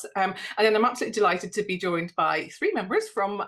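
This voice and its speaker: With a Northern Irish accent, a woman talks at a very fast pace. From Northern Ireland. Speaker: GP and safeguarding policy lead. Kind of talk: webinar presentation.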